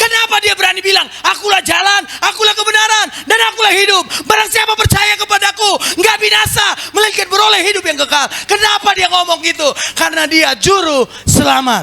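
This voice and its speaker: Shouting at a fairly quick pace, a man keeps his loudness very even against noticeable background noise. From North Sumatra (Batak). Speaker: pastor. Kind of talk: sermon. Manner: animated.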